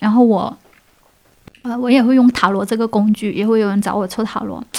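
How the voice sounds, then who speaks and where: Her fairly high voice has a dark, mellow tone, and this woman keeps her intonation fairly even. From Guangdong, China. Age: 30s. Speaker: freelance artist. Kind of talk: casual interview. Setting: courtyard. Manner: smiling, laughing often; hesitant, many fillers.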